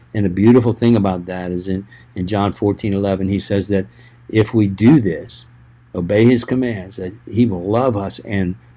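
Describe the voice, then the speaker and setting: Speaking at a moderate pace, a man with a fairly low pitch and ordinary pitch variation has a dark, mellow tone. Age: 60s. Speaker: pastor. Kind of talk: casual chat.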